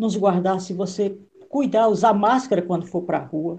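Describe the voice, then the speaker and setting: Somewhat breathy, this voice moves at a moderate pace with ordinary pitch variation. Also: woman. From Maranhão, Northeast Brazil. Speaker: political consultant and live host. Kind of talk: live interview. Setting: video call livestream.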